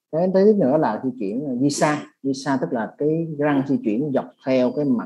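Speaking at a moderate pace, a man with a dark, mellow tone and a fairly high pitch moves through very wide pitch swings. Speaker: interpreter for orthodontics webinar. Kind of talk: consecutive interpretation. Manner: halting, many fillers.

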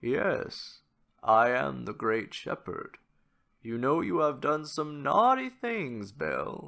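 A put-on character voice moves at a very slow pace over a quiet background. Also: man, fairly high pitch for a man. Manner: gentle, calm, sorrowful.

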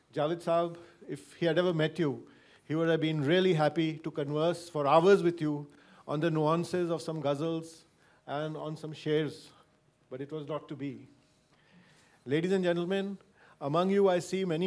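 A man with a fairly high pitch speaks at a moderate pace in a monotone, flat intonation. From India. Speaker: family member giving vote of thanks; host giving vote of thanks. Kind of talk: vote of thanks. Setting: lecture hall with audience. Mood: warm, grateful. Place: hall. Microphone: handheld.

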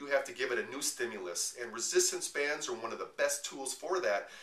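Amid audible room echo, a man speaks at a moderate pace. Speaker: personal trainer. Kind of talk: promotional tutorial talk. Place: home room. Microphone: camera far.

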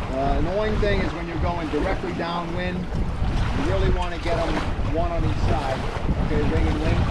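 Someone speaks at a fairly quick pace over loud background noise. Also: man. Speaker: sailing instructor. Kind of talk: tutorial. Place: beach. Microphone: camera far.

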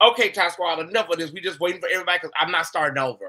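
The man's tone comes across bright and sharp. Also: quiet background. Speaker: livestream host. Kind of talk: casual livestream chat. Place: home room. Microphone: webcam.

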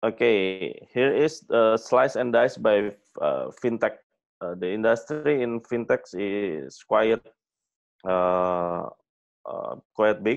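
With an Indonesian accent, the speaker talks at a very slow pace against a quiet background. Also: man. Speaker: fintech executive; fintech company founder guest lecturer. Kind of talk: lecture. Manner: halting. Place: home room. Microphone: webcam.

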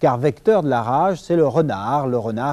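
A man with a dark, mellow tone and a fairly high pitch speaks fairly slowly with lively intonation. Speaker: TV reporter. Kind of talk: TV news report narration. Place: studio.

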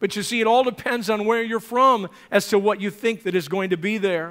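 A man speaks at a fairly quick pace in a high pitch, with ordinary pitch variation and an animated, bright, sharp tone. The background is quiet. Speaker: preacher. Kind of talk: sermon. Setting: church. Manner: animated, exhorting the congregation with 'amen' prompts. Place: church.

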